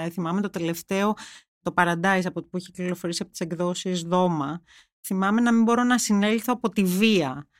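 With a German accent, a woman of medium pitch speaks at a moderate pace and ordinary pitch variation, in a dry, close sound with no echo and a very clean recording with a silent background. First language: German (speaking Greek). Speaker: journalist. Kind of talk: interview. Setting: studio.

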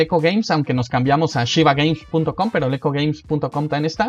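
Speaking at a moderate pace, a man has a fairly high pitch and an unremarkable speaking voice. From Mexico. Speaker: board game designer. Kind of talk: casual interview.

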